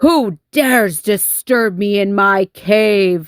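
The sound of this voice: A woman uses a put-on character voice with a growling quality. She speaks at a very slow pace. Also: medium pitch for a woman.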